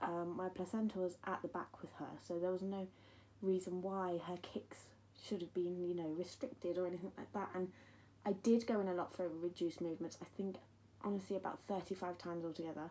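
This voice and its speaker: Speaking with an English accent, a woman uses a medium pitch, a dark, mellow tone and monotone, flat intonation at a fairly quick pace. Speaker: bereaved mother vlogger. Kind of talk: personal testimony. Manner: hesitant, many ums.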